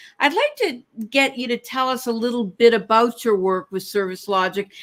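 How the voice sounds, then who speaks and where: The speaker has a plain, everyday voice, ordinary pitch variation and a moderate pace. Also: woman. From Canada. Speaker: podcast host. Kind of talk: interview. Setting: live stream.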